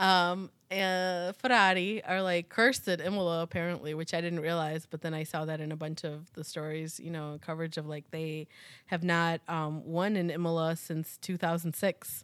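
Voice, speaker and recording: A woman with a plain, everyday voice speaks in an American accent at a moderate pace, her pitch fairly low and intonation fairly even. The recording is very clean, with a silent background. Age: 40s. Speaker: podcast host. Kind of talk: casual chat.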